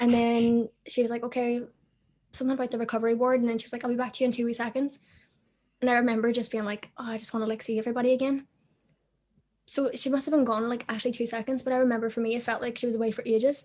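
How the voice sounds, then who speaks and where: A woman's high voice in a Belfast accent, very fast and monotone with flat intonation, over a quiet background. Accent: Belfast Northern Irish. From Northern Ireland, Belfast. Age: 20s. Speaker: amputee model and social media personality. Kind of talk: casual interview chat.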